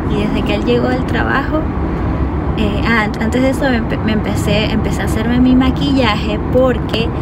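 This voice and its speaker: A woman at a moderate pace, dry sound with no echo, under loud background noise. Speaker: vlogger. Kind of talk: casual vlog chat. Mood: relaxed storytelling. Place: car. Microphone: phone near.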